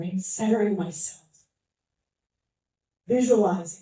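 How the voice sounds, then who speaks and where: A woman's dark, mellow tone comes through somewhat breathy, with ordinary pitch variation. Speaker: motivational speaker. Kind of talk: motivational talk to a live audience.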